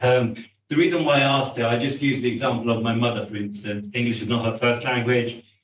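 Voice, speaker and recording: A man's medium-pitched voice at a very fast pace, with fairly even intonation and audible room echo. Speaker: councillor. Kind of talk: committee meeting. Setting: hybrid council meeting. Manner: loud.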